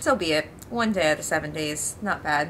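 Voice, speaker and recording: Noticeable background noise fills the clip. Through it, a woman's voice comes through. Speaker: lifestyle vlogger and live streamer. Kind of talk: casual vlog talk to camera. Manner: casual, rambling, filler-heavy.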